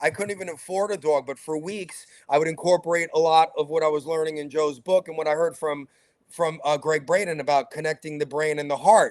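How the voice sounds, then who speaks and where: Speaking at a fairly quick pace, a man with a New York accent has a fairly high pitch. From New York, Brooklyn. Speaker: talk show host. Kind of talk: interview conversation. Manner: animated.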